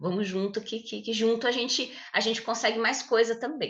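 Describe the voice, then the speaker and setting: A woman talks at a fairly quick pace. Hers is an ordinary speaking voice with ordinary pitch variation. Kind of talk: podcast conversation.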